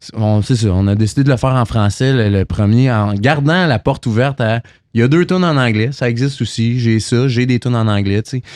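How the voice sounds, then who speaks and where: A man with a Quebec accent at a fairly quick pace, medium pitch and ordinary pitch variation against a quiet background. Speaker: singer-songwriter. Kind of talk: casual chat. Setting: bar venue, filmed podcast.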